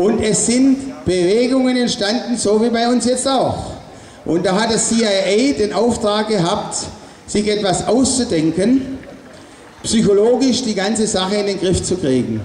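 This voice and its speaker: Over light background noise with audible room echo, a man speaks fairly slowly in a high voice, with ordinary pitch variation and very even loudness. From Stuttgart area, Swabia, Germany. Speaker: artist and protest speaker. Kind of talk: rally speech. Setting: outdoor demonstration with PA system. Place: street. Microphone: pa.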